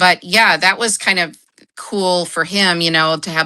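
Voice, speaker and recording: This woman has a bright, sharp tone and a fairly low pitch. She speaks with an American accent and fairly even intonation. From United States. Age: 50s. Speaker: junk journal crafter. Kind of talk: casual interview chat.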